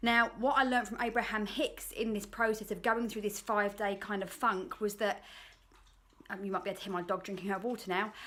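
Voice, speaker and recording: A fairly quick pace with an English accent. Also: woman. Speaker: life coach vlogger. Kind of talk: reflective monologue.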